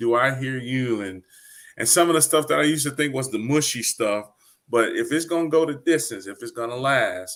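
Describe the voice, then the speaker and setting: An unremarkable speaking voice, from a man with an American accent and a medium pitch. His pitch varies in an ordinary way, and the recording is very clean with a silent background. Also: fairly quick pace. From Detroit, Michigan. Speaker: poet and hip hop artist, Navy veteran. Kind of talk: interview answer.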